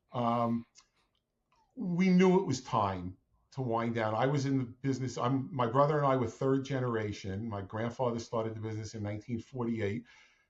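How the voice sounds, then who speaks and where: Keeping a moderate pace, a man talks at a medium pitch in an unremarkable speaking voice whose pitch varies in an ordinary way. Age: 60s. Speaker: franchise owner, former family business owner. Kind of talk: interview podcast.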